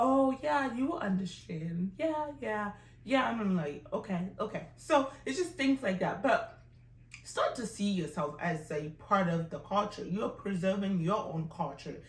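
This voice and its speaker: A woman speaks in an African accent at a fairly slow pace, her pitch swinging very widely. Audible room echo surrounds her voice. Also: medium pitch for a woman. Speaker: language teacher. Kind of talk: tutorial. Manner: animated.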